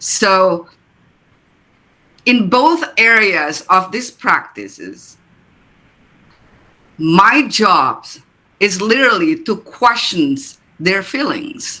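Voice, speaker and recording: Someone with an Indonesian accent speaks at a very slow pace, with long, frequent pauses. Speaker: therapist or coach. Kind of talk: panel discussion at book launch. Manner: halting, many fillers and repeats.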